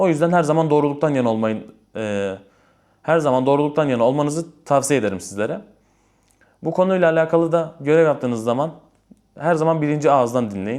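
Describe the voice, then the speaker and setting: Here a man with an unremarkable speaking voice talks at a fairly quick pace, his fairly high pitch carried by lively intonation. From Istanbul, Turkey. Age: 20s. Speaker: imam and religious content creator. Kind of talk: casual Q&A vlog.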